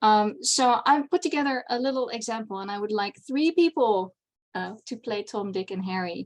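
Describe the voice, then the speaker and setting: Speaking with a Dutch accent, a woman uses a fairly high pitch and lively intonation. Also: moderate pace. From Netherlands. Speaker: convention panel presenter. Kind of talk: lecture.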